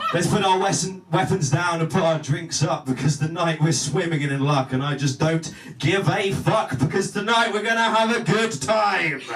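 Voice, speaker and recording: Music plays in the background as a man with a high pitch talks at a moderate pace, with very even loudness and ordinary pitch variation. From southern England. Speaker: spoken word poet. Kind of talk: spoken word performance.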